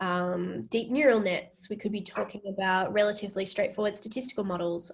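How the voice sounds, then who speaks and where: Speaking with an Australian accent, a woman talks somewhat breathily at a fairly quick pace with fairly even intonation, and the room echo is audible. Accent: Australian, mistaken for UK. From Western Australia. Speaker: AI ethics researcher and lecturer. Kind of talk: Q&A after public lecture. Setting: virtual public lecture.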